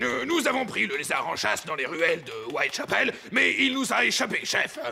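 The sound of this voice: A man's cartoonish character voice, high-pitched and at a moderate pace, with very wide pitch swings over clear background noise.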